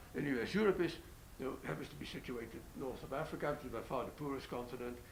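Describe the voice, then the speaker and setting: Audible room echo hangs around a man's voice. He goes at a very fast pace with ordinary pitch variation. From Netherlands. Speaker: economist. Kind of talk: panel discussion. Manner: halting.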